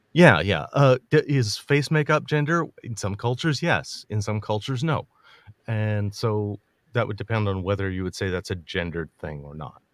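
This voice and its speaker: A man with a fairly low voice speaks at a moderate pace, his pitch swinging very widely and his loudness rising and falling sharply. The recording is very clean, with a silent background. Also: dry, close sound with no echo. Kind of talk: debate discussion. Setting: livestream. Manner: halting.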